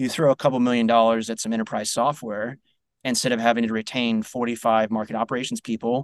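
A man with an unremarkable speaking voice talks in a General American accent at a fairly quick pace. The background is quiet. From United States. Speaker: marketing executive. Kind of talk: interview.

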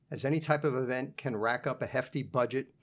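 A man speaks in a plain, everyday voice at a medium pitch. His pace is moderate, and his intonation fairly even. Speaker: podcast host. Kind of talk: interview.

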